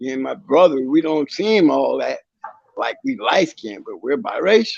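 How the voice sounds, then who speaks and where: At a moderate pace, a man speaks. His loudness swings widely. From Akron, Ohio, US Midwest. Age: 60s. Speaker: Marine Corps veteran. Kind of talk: casual chat. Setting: livestream.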